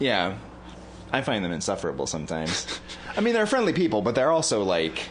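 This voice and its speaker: A man with an American accent talks at a very fast pace, with long, frequent pauses and audible room echo. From northern US near Canadian border. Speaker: comedy podcast co-host. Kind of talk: casual chat.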